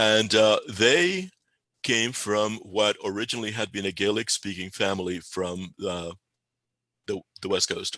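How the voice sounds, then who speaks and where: A man with a Spanish accent speaks at a fairly low pitch in a bright, sharp tone. His pace is fairly slow and his pitch variation ordinary. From Spain (Galicia), Cuba and Puerto Rico. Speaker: pagan spiritual leader. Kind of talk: interview. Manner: halting, many repeated words and fillers.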